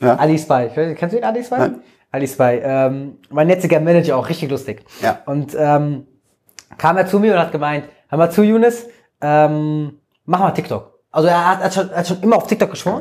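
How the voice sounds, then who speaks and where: At a moderate pace, a man speaks with lively intonation. He has a plain, everyday voice. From Germany, Frankfurt. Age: 20s. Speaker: social media creator. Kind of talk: casual interview.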